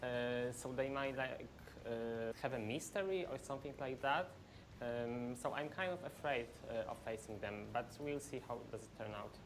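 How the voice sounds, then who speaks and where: Audible room echo surrounds a woman speaking at a moderate pace in a very deep, low pitch, with a Polish accent. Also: ordinary pitch variation. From Poland. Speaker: professional esports player. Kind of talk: pre-match interview. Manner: halting.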